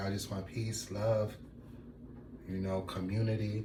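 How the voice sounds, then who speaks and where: Soft-spoken and somewhat breathy, a man with a dark, mellow tone talks at a fairly low pitch and a fairly slow pace amid audible room echo. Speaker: vlogger. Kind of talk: casual monologue. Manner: laid back.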